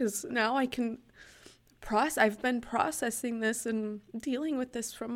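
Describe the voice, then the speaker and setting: This woman speaks with a high pitch. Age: 30s. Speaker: podcast host, fitness coach. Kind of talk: personal testimony. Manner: halting, frequent laughs.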